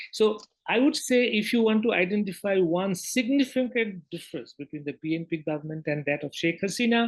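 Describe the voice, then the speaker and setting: A man's high-pitched voice with lively intonation in a Bengali accent. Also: fairly quick pace. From Bangladesh. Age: 70s. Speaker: newspaper editor. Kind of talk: interview.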